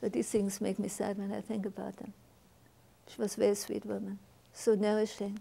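A woman's medium-pitched, dark, mellow voice with vocal fry, monotone, flat intonation, a fairly quick pace and long, frequent pauses. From Germany. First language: German. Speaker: Holocaust survivor. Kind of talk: testimony. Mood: sad, reflective. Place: studio. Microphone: lapel.

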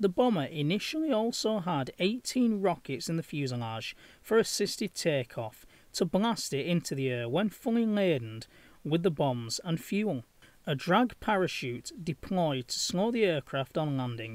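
A high-pitched man's voice with very wide pitch swings, on a very clean recording with a silent background. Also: moderate pace. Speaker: history video narrator. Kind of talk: history documentary narration. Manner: formal, steady, informative delivery.

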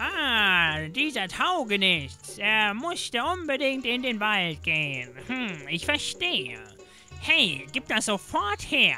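Clear music plays behind a man doing a put-on character voice, very slow and high-pitched, with very wide pitch swings. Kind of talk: comic game-text reading. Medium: solo performance. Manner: scolding, brusque.

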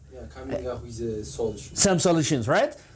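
In an Ethiopian accent, a man speaks in an animated tone. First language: Amharic. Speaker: English teacher. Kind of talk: tutorial. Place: studio. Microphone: lapel.

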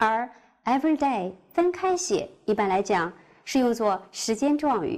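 At a moderate pace and very even loudness, the voice carries a Chinese accent with very wide pitch swings against a quiet background. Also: woman, fairly high pitch for a woman. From China. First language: Mandarin Chinese. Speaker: middle school English teacher. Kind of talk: lecture. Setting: recorded online class. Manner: formal. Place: studio. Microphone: lapel.

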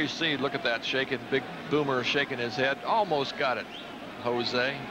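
Noticeable background noise surrounds a man. He speaks at a moderate pace. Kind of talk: live commentary. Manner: conversational, analytical, measured.

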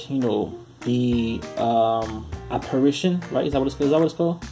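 Very fast speech over clear music in the background. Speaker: toy reviewer. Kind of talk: casual toy review commentary. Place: home room.

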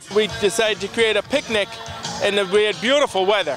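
Music in the background behind a man's high voice, dry with no echo, with ordinary pitch variation. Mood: cheerful, welcoming. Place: garden.

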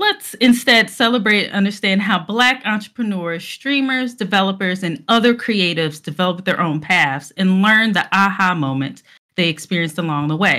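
With hardly any pauses, a bright, sharp voice moves at a moderate pace with lively intonation over a quiet background. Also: woman. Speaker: panel host. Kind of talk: show introduction. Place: home room. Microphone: headset.

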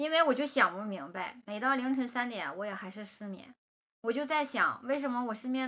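With a Northeastern Chinese accent, a woman speaks at a moderate pace in a high, bright, sharp voice with ordinary pitch variation. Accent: Northeastern Mandarin. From Northeast China. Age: 30s. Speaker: vlogger; vlogger talking about seeking marriage. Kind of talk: personal monologue to camera. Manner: chatty, colloquial with many fillers. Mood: calm, wistful storytelling.

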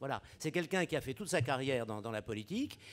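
A man talks at a very fast pace. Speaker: panelist. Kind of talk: Q&A comment. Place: hall. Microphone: podium.

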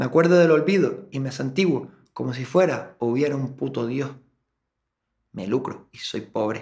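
This is an unremarkable speaking voice from a man at medium pitch. He keeps a moderate pace with ordinary pitch variation. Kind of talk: spoken word poetry. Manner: introspective, brooding.

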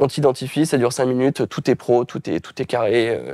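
A man speaks at a fairly quick pace with a dark, mellow tone and fairly even intonation, the sound dry with no echo over a quiet background. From France, various regions. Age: 20s. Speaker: self-publisher and trainer; interview guest. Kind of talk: interview. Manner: hesitant, many fillers. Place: home room. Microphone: lapel.

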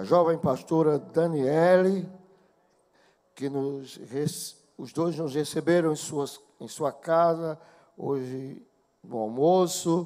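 Speaking at a very slow pace, a man has a fairly high pitch with ordinary variation and a dark, mellow tone. His loudness swings widely, and he takes long, frequent pauses. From Pernambuco, Brazil. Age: 60s. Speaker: gospel singer; preacher. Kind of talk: stage address to congregation. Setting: church. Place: stage. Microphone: handheld.

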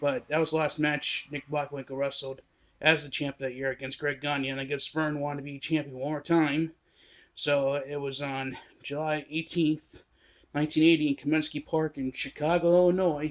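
A man at a moderate pace, his intonation flat and monotone. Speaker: wrestling history vlogger. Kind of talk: casual vlog commentary. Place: home room. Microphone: phone near.

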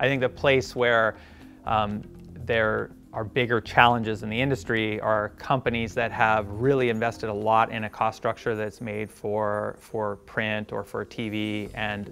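Monotone, flat intonation over faint music in the background. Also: man, fairly low pitch for a man. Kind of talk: interview answer. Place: studio. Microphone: lapel.

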